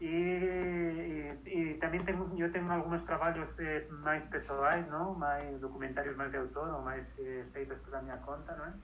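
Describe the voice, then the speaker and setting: A man speaks at a fairly slow pace. Audible room echo and noticeable background noise surround him. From Spain, Madrid. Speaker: filmmaker and academic. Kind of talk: interview. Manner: halting.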